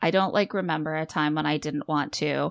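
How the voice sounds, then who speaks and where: A woman with an American accent and a plain, everyday voice speaks at a fairly low pitch with ordinary pitch variation, the recording very clean, dry and close with no echo and a silent background. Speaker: podcast host, mother. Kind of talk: casual chat.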